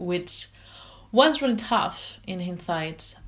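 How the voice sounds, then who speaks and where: A woman with a French accent at a moderate pace, in a very clean recording with a silent background. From France. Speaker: life coach. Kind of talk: personal story monologue.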